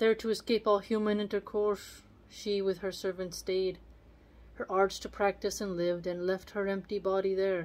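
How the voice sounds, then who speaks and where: Monotone, flat intonation marks this woman's speech. She keeps a moderate pace. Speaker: video channel host reading poetry aloud. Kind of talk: literary poem reading aloud with casual commentary. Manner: measured, formal reading of archaic verse. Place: home room. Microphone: phone near.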